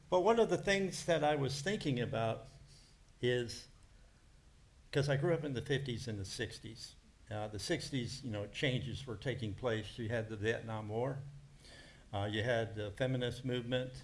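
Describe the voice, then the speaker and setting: Speaking in an American accent with a medium-pitched, somewhat breathy voice, a man keeps a moderate pace with ordinary pitch variation and long, frequent pauses amid audible room echo. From United States. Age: 70s. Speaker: preacher. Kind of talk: sermon.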